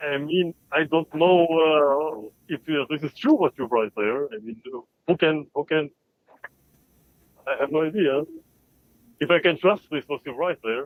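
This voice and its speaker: Someone with an Albanian accent talks at a fairly slow pace, leaving long, frequent pauses. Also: man, fairly high pitch for a man, ordinary pitch variation. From Balkans, Macedonia. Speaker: caller. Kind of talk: live call-in debate. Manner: halting.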